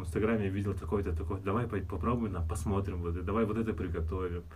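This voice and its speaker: Over audible room echo, a man with a fairly low pitch talks at a fairly quick pace, somewhat breathy, with lively intonation. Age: 30s. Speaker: fitness trainer. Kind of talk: casual chat.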